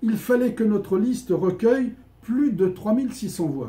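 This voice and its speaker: A man with a high pitch and a dark, mellow tone, at a fairly slow pace. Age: 60s. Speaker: trumpeter and candidate in an artists' society election. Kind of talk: prepared public statement. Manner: formal.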